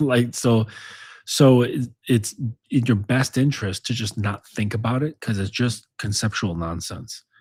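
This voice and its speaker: This man's voice is somewhat breathy. He talks at a fairly slow pace. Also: medium pitch for a man, ordinary pitch variation. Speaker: dominance coach and author. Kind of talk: casual monologue. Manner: casual, filler-heavy.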